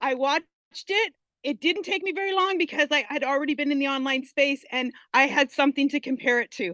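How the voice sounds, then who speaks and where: A woman speaks in an animated, projected voice with a high pitch, lively intonation and a bright, sharp tone, at a fairly quick pace in dry, close sound with no echo. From Canada. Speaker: online business student sharing success story. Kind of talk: testimony.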